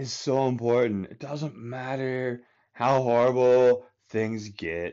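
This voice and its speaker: Speaking very slowly, a man keeps to a medium pitch. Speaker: podcast host on epilepsy wellness. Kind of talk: solo monologue podcast. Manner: rambling, conversational; deliberately enunciated.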